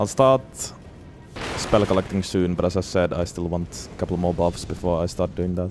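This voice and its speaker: A man speaks at a moderate pace in a very deep, low pitch with fairly even intonation. Music plays in the background. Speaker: gaming streamer. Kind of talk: live gameplay commentary. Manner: mumbling.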